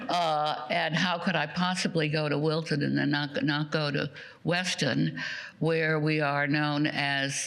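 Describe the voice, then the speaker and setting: A woman with a very deep, low pitch and monotone, flat intonation, amid audible room echo and noticeable background noise. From Austria. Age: 90s. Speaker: Holocaust survivor speaker. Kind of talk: testimony. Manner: drops voice at sentence ends.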